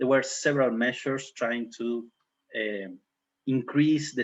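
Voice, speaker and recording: In an unremarkable speaking voice, a man talks at medium pitch and a fairly slow pace, with fairly even intonation. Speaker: criminology professor. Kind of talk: academic seminar lecture.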